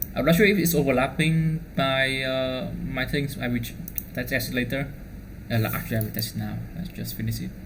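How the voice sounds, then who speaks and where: A man with a Vietnamese accent talks at a fairly quick pace. There is noticeable background noise and audible room echo. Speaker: DevOps engineer. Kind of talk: tutorial. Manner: fast; halting.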